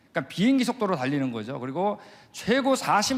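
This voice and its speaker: A man is talking. His delivery is fairly quick. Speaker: creation science missionary lecturer. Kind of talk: lecture. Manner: fast; animated.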